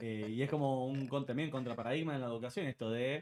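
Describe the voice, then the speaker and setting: Pitch varying in an ordinary way, a man rattles along very fast. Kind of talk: interview.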